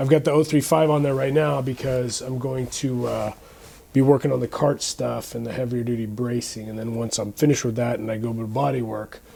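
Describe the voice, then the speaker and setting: A man at medium pitch with fairly even intonation. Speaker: car restoration hobbyist. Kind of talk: casual tutorial vlog.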